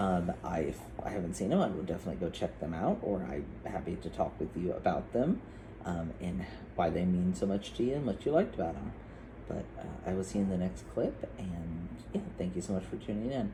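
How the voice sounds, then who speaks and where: A man's very deep, low voice at a fairly quick pace, with lively intonation and audible room echo. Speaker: vlogger and outreach worker. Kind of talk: casual vlog. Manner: loud at times; hesitant, many fillers.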